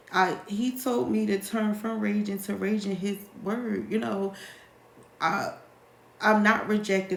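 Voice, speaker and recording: Fairly slow speech with ordinary pitch variation, amid noticeable background noise and audible room echo. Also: woman. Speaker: life coach. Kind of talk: live Q&A monologue. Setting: livestream.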